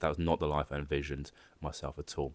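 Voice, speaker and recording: A man speaks with a Jersey accent. The recording is very clean and dry, with a close sound, no echo and a silent background. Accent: British English, Jersey. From Jersey (Channel Islands). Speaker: AI and data consultant. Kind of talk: interview, personal story.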